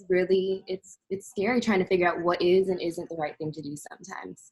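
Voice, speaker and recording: A woman with an unremarkable speaking voice talks fairly quickly at a medium pitch. Her intonation stays fairly even while her loudness swings widely. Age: 20s. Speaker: interviewee in church ministry program. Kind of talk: interview conversation.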